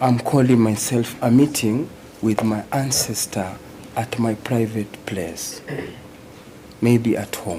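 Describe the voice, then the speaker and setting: In a room with audible echo and noticeable background noise, a man with a Kenyan accent speaks at a very slow pace and a medium pitch. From Kenya, Banyore community. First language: Luhya (Banyore). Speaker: Rastafarian traditional healer, court witness. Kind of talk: court testimony under questioning. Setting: courtroom.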